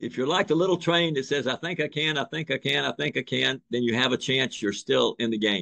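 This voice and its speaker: A man with a medium pitch and vocal fry talks at a fairly quick pace with lively intonation and hardly any pauses. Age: 80s+. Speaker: surgeon and surgical educator. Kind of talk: lecture.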